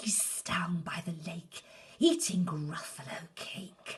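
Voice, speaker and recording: This put-on character voice whispers and growls. It moves at a very slow pace. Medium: read story.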